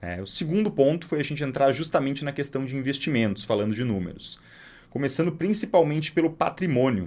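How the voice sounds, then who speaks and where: A man's fairly quick, fairly high-pitched speech with very wide pitch swings on a very clean recording with a silent background. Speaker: financial advisor. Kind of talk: storytelling monologue. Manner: casual.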